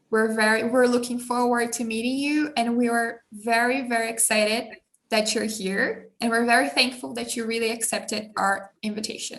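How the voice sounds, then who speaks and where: Audible room echo surrounds a woman whose fairly high voice keeps fairly even intonation at a moderate pace. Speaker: student league president, interviewer. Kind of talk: interview introduction.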